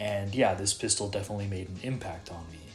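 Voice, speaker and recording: A man is speaking with music in the background. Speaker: gaming YouTuber. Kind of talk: video essay narration. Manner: casual, filler-heavy.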